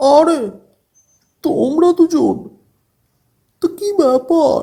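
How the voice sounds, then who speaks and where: A cartoonish character voice speaks at an extremely high pitch. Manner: suspicious, demanding.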